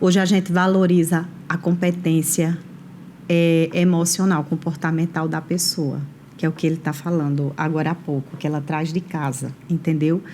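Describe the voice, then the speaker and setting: Her voice is dark and mellow at a fairly low pitch. The woman keeps a monotone, flat intonation. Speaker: HR professional and entrepreneur. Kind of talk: interview. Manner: slow, measured.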